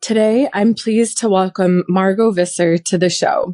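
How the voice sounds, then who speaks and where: A woman speaks at a moderate pace with a medium pitch and a dark, mellow tone, her voice dry and close with no echo. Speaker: podcast host. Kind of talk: interview.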